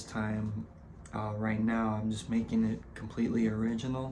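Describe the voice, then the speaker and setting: A man with a fairly low pitch and a dark, mellow tone talks at a moderate pace, with audible room echo around him. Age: 20s. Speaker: vlogger. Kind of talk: casual vlog monologue. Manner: halting, many fillers and repetitions.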